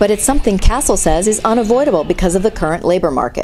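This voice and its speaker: A woman's medium-pitched voice, very fast and with lively intonation, over music in the background. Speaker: TV reporter. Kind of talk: TV news story package narration.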